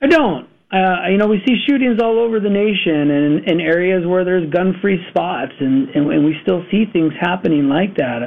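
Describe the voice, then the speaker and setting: A moderate pace with hardly any pauses. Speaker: school superintendent. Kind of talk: radio interview.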